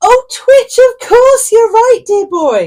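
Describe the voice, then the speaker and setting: A woman does a put-on character voice, squeaky and extremely high in pitch. She speaks at a very slow pace. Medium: read story. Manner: warm, motherly.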